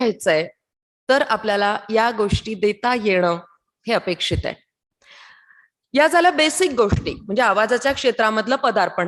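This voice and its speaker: Lively intonation marks this woman's fairly high pitch. She has a plain, everyday voice. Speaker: radio announcer. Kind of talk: training lecture.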